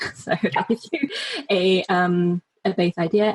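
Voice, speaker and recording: The woman's medium-pitched, somewhat breathy voice sounds dry and close, with no echo. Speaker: launch strategist and copywriter. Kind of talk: interview.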